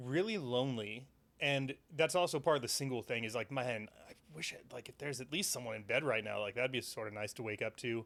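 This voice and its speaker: A man's unremarkable speaking voice at medium pitch, fairly quick in pace. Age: 30s. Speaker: podcast host. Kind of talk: casual chat. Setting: studio.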